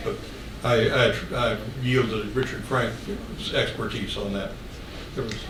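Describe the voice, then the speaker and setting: A man with an American accent speaks in a medium pitch with monotone, flat intonation at a fairly slow pace, leaving long, frequent pauses amid noticeable background noise and audible room echo. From West Virginia. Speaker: author and speaker. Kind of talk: Q&A after a talk. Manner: halting.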